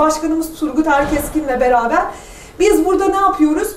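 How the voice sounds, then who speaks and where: A woman speaks in a high pitch with ordinary pitch variation at a moderate pace. Light background noise and audible room echo surround her. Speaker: business association founder and panel speaker; speaker. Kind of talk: panel talk. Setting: university event with audience. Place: classroom. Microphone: camera far.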